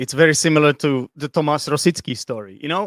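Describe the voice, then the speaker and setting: Speaking with a Czech accent, a man talks at a very fast pace in a fairly high pitch. The sound is dry and close with no echo, on a very clean recording with a silent background. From Czech Republic. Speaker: English teacher and football fan. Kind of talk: casual chat.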